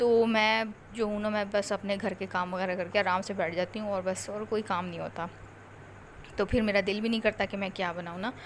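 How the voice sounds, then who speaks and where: Monotone and flat in intonation, a woman speaks at a medium pitch and a moderate pace. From Pakistan. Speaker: vlogger, mother. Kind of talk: vlog voice-over. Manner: casual, halting.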